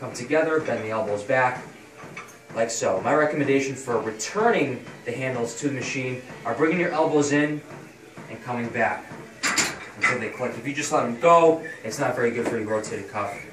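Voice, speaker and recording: A man talks at a fairly quick pace with long, frequent pauses over noticeable background noise. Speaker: personal trainer. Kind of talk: tutorial. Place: gym. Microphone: camera far.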